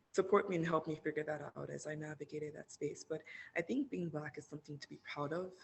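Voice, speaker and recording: A woman talks at a fairly quick pace in a very deep, low pitch. Her voice is somewhat breathy and her intonation fairly even. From Nigeria (Lagos). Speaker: university student. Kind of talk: podcast interview.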